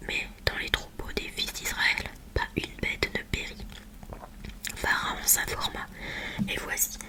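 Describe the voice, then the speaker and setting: The words are whispered very slowly. Noticeable noise sits in the background. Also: woman. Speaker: ASMR creator reading the Bible. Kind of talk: Bible reading, relaxation ASMR. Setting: close-mic studio recording with a Blue Yeti microphone. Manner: whispered, soft, close-mic.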